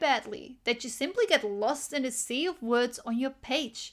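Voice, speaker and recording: On a very clean recording with a silent background, a woman speaks fairly slowly in a high pitch with ordinary pitch variation. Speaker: business coach podcast host. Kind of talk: solo podcast monologue, motivational coaching talk; guided visualization: listener asked to close eyes and imagine posting effortlessly. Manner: casual, slightly halting, stumbles over words; slow, calm, soothing guided-imagery delivery with gentle second-person prompts.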